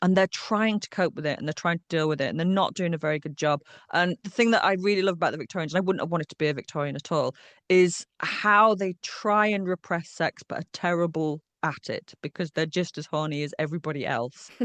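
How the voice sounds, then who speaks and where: A woman speaks at a very fast pace in a Yorkshire accent, her pitch fairly low. The sound is dry and close with no echo, over a quiet background. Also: ordinary pitch variation. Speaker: historian. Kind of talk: interview answer. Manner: witty.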